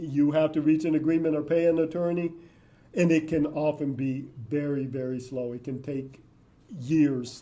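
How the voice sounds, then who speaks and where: A man's fairly high, dark, mellow voice at a moderate pace, with fairly even intonation and audible room echo. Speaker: public records expert speaker. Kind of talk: lecture; audience Q&A answer. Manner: halting.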